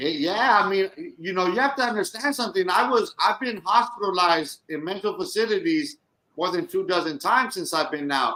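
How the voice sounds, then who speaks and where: A man's raised, projected voice, high in pitch, with very wide pitch swings. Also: fairly quick pace. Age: 40s. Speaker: podcast co-host, formerly incarcerated. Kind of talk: casual chat.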